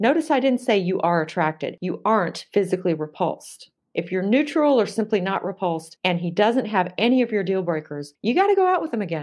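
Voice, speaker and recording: Speaking at a fairly quick pace with hardly any pauses, a woman with an unremarkable speaking voice keeps a medium pitch and lively intonation. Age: 50s. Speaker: dating coach and professor. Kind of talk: interview conversation.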